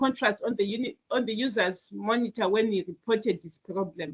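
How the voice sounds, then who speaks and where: A woman's fairly high, somewhat breathy voice at a fairly quick pace, with ordinary pitch variation and a dry, close sound free of echo. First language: not English. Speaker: IT teacher. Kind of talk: online class lecture. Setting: online video class. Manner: hesitant, with fillers and restarts.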